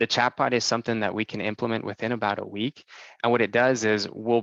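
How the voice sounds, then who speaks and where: A man talks over a quiet background. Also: dry, close sound with no echo. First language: Spanish. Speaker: software sales presenter. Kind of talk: product demo presentation.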